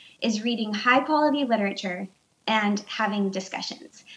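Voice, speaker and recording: The pace is moderate. Pitch varies in an ordinary way. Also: woman. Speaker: remote guest. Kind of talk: interview answer. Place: home room. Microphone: video call.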